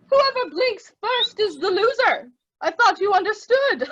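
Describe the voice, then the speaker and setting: A woman uses a put-on character voice that is squeaky and extremely high. She talks at a moderate pace. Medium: read story. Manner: slow, considered.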